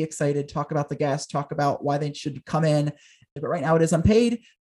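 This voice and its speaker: A man with an American accent talks in a plain, everyday voice at a fairly high pitch. His pace is fairly quick, his intonation fairly even, and the background quiet. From southern New Jersey, near Philadelphia. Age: 20s. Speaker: talk show host and producer. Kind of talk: interview conversation.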